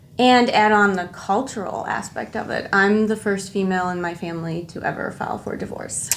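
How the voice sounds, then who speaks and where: A woman talking at a fairly quick pace over noticeable background noise. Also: medium pitch for a woman, ordinary pitch variation. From northwest Indiana / Chicago area (Lansing, Illinois), born in Jordan. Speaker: chemical engineer, corporate manager. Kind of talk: podcast interview.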